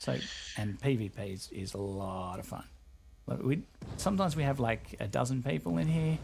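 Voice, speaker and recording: A man with an Australian accent talks at a fairly quick pace and medium pitch, his voice somewhat breathy with very wide pitch swings. He leaves long, frequent pauses. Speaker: game developer community representative. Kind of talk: casual chat.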